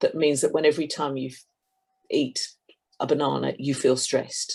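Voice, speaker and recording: The speaker has a southern British accent. The pace is moderate. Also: woman. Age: 60s. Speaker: complementary therapist. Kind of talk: interview.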